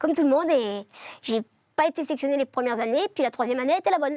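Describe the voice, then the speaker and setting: Talking at a very fast pace, a woman with a high pitch uses lively intonation in a dry, close sound with no echo. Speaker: singer. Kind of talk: interview.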